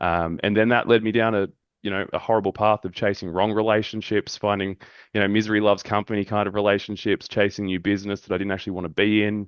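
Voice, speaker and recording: Very fast and monotone, a man with an Australian accent speaks at a fairly low pitch with flat intonation. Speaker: men's mental health group facilitator. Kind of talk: podcast interview.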